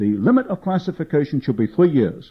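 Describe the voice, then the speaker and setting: A man with a fairly high pitch speaks at a fairly quick pace. His pitch swings very widely. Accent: British. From England, London. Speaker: author and researcher. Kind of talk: public lecture. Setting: meeting with audience.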